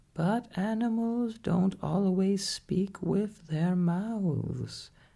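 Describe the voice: The pace here is very slow. A put-on character voice sits at a middle pitch.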